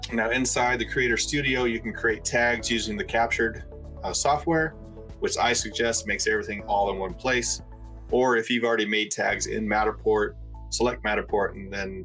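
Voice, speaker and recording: A man at a moderate pace over faint background music. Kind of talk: tutorial. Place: home room.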